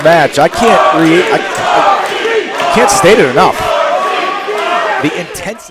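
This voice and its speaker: Loud background noise accompanies a dry sound that has no echo. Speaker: wrestling commentator. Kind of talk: live sports commentary. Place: hall. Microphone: headset.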